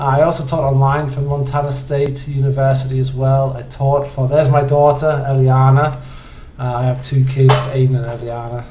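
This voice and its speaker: A man with an English accent, medium pitch and a dark, mellow, somewhat breathy tone, monotone, flat intonation at a moderate pace, with audible room echo. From northeast England, Hartlepool. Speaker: university instructor. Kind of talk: course introduction video. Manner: halting, many fillers.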